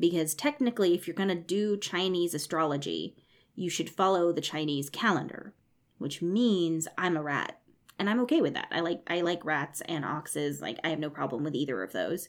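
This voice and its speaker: Here is a woman with a plain, everyday voice and an American accent, pitched fairly low. She speaks at a moderate pace with ordinary pitch variation, and the recording is very clean with a silent background. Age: 30s. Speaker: podcast host. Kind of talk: solo educational podcast monologue. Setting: home recording room.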